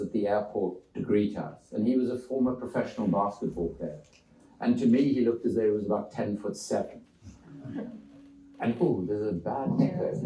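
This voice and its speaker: The speech moves at a fairly quick pace with lively intonation. Room echo is audible. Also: man, fairly low pitch for a man. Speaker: author and former politician. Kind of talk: public talk. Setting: church hall with audience. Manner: loud. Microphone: microphone switched off after echo.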